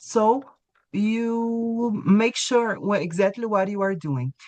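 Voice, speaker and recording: A woman speaks with a Brazilian Portuguese accent at a fairly slow pace. Her fairly high voice has lively intonation. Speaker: English teacher. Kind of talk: webinar presentation.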